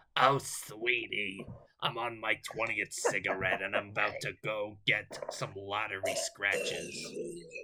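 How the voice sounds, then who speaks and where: A man performs a put-on character voice. He speaks at a fairly slow pace. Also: medium pitch for a man. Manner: throaty, worn out.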